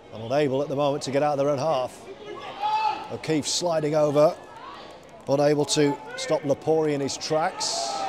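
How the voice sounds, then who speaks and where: Noticeable background noise accompanies a monotone, flat delivery. The pace is moderate, broken by long, frequent pauses. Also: man, fairly high pitch for a man. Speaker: rugby league commentator. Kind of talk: live sports commentary. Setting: stadium commentary.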